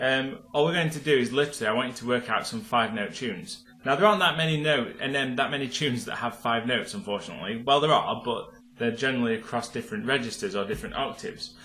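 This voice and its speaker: Speaking very fast at a medium pitch, a man swings his pitch very widely over noticeable background noise. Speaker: piano teacher. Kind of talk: tutorial. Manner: casual, with filler words.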